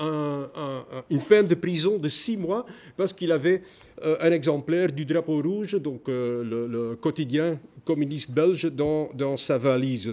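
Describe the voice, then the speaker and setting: The speaker talks at a fairly slow pace. There is a non-native accent. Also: man. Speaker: historian, conference speaker. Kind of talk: conference talk. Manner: halting, many hesitations.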